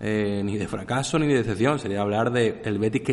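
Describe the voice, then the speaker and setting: A man's medium-pitched, unremarkable speaking voice at a fairly quick pace, with ordinary pitch variation. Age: 30s. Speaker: football podcast host. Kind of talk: casual chat.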